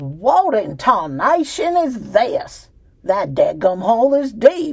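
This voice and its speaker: Here is a put-on character voice in a Southern US accent, fairly high in pitch. The delivery is very slow. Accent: Southern US drawl. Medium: read story. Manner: loud, folksy, coarse.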